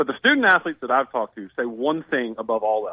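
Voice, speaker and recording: This man speaks in a Southern US accent at a fairly quick pace. His pitch sits in the medium range. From northern Alabama. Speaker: sports journalist. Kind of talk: radio interview.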